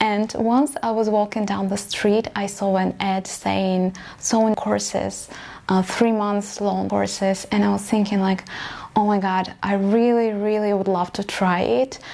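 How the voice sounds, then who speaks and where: A woman with a Russian accent speaks at a fairly slow pace in a medium pitch. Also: fairly even intonation. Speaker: vlogger, aspiring fashion designer. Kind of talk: personal story vlog.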